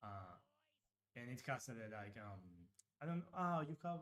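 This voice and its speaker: Speaking at a fairly quick pace, a man talks with a Uruguayan accent. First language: Spanish. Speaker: game designer. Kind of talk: live stream Q&A chat. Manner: halting, many fillers.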